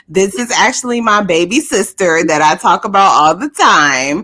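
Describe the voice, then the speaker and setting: A woman with an American accent speaks at a moderate pace and medium pitch. Her pitch swings very widely over noticeable background noise. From Decatur, Georgia. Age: 40s. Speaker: podcast co-host. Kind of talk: casual chat.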